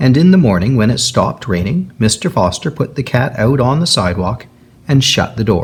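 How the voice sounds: What we hear is a natural reading voice.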